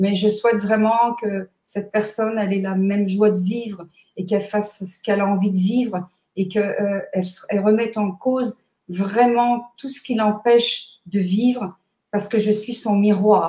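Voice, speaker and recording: Her dark, mellow tone is somewhat breathy as the woman speaks at medium pitch and a moderate pace in a monotone, flat intonation. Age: 60s. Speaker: numerologist and author. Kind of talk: interview. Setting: live video stream.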